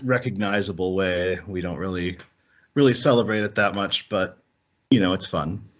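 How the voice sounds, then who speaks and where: Here a man speaks with a Minnesota accent at a moderate pace. His pitch is very deep and low, with ordinary variation. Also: long, frequent pauses. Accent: Minnesota American. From US Midwest, Minnesota. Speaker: podcast co-host. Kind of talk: casual chat. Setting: remote call.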